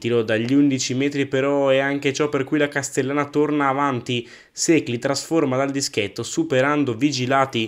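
Against a quiet background, a man with a normal speaking voice talks at a moderate pace, fairly high in pitch, with fairly even intonation. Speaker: match commentator. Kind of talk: sports commentary. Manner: brisk, clipped match-report recap.

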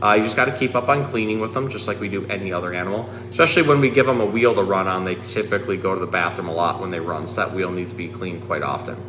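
A low-pitched man talks fast with few pauses and ordinary pitch variation. Background noise is clearly audible.

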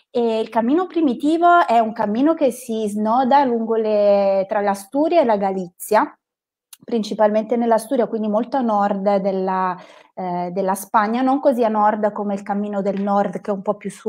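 Against a quiet background, a woman speaks at a moderate pace in an unremarkable speaking voice with a fairly high pitch. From northern Italy, province of Bergamo; northern Italy. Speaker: psychotherapist and hiking guide; hiking guide. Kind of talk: live stream conversation. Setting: live online stream. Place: home room. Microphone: earbuds.

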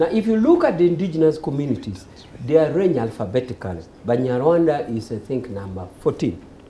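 A man rattles along at a very fast pace with light background noise behind him. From Uganda. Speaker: lawyer and ruling party official; lawyer. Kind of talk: political panel debate. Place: studio. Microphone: lapel.

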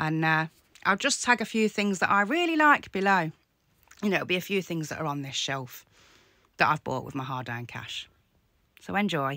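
A woman with a fairly low pitch and a bright, sharp tone speaks at a moderate pace, her intonation lively and her pauses long and frequent. The sound is dry with no echo over a quiet background. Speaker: content creator replying to a troll. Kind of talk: casual vlog chat. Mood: annoyed, defiant. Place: home room. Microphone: phone near.

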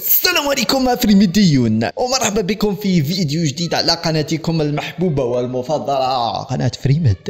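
Here a man speaks at a high pitch and a moderate pace, with very wide pitch swings. His loudness stays very even, and he hardly pauses at all. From Algeria. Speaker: gaming YouTuber. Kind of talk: casual video vlog address to viewers. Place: home room.

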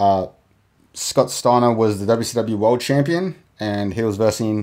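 On a very clean recording with a silent background, a man with an Australian accent speaks fairly slowly at a medium pitch with ordinary pitch variation. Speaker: podcast host. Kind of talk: solo monologue podcast.

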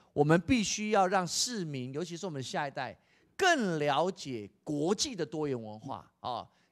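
A man at a moderate pace, fairly high pitch, very wide pitch swings, quiet background. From Taiwan. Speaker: education official; guest. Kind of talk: interview. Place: hall. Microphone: handheld.

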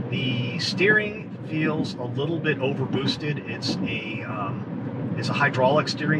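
A man is speaking with ordinary pitch variation. Loud background noise runs behind him. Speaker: truck reviewer driving. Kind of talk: commentary. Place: car. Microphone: camera far.

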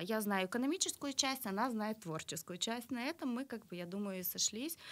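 A woman speaks with a fairly high pitch, lively intonation and a bright, sharp tone. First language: Russian (speaking Romanian). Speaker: art studio owner; interview guest. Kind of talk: interview. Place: studio. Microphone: studio mic.

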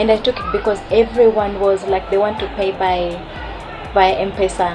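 A woman's voice with clear music in the background. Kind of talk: interview answer. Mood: relaxed, friendly. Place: shop.

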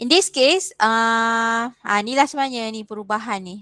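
Recorded with a dry, close sound and no echo, a woman talks at a fairly slow pace with ordinary pitch variation. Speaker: university lecturer. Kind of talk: lecture. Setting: video call. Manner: code-switching Malay and English.

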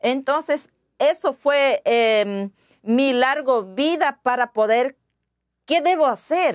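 Against a quiet background, the voice moves at a very slow pace with very even loudness and ordinary pitch variation. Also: woman, high pitch for a woman. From Ecuadorian Amazon, Pastaza. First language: Waorani (speaking Spanish). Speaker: interview guest. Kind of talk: interview. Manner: halting, with hesitations and repetitions. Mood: earnest, concerned.

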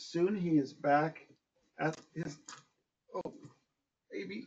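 Fairly high in pitch with ordinary pitch variation, a man speaks at a very slow pace, leaving long, frequent pauses, his loudness swinging widely. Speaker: dog owner reading to pet. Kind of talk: children's story read aloud to a dog, with chatty pet talk. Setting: home, one-on-one with dog. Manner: animated, sweet, coaxing; warm, gentle, affectionate baby-talk. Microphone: camera far.

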